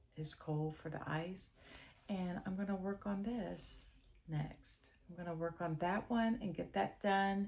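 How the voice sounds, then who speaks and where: Somewhat breathy, a woman speaks very slowly with ordinary pitch variation. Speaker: cross-stitch vlogger. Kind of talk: casual chat.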